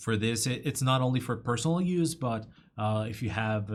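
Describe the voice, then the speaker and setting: A man is talking at a fairly quick pace. His voice sounds somewhat breathy. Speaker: software company webinar presenter. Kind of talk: webinar Q&A. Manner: halting, many fillers.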